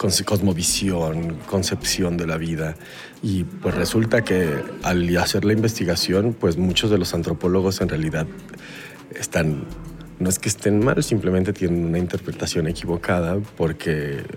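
Speaking at a fairly slow pace with a Mexican accent, a man with a very deep, low pitch keeps a fairly even intonation over noticeable background noise. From Mexico. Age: 40s. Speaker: voice professional. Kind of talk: casual interview. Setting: hallway at a festival.

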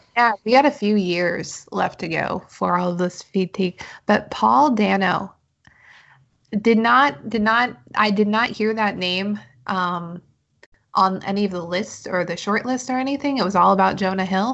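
At a fairly slow pace, a woman speaks in a normal speaking voice, pitched in the medium range with ordinary pitch variation. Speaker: podcast host. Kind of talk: casual chat.

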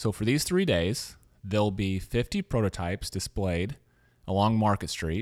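A man with an American accent and a plain, everyday voice, fairly low in pitch, with ordinary pitch variation at a moderate pace, on a very clean recording with a silent background. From US South, Louisiana. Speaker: podcast host. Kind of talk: interview; scripted narration.

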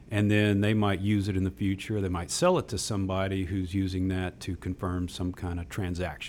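A man with a very deep, low pitch talks in a slight Texas accent, his intonation fairly even. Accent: slight Texas drawl. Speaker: technology executive. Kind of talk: radio interview. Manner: repeats words, casual.

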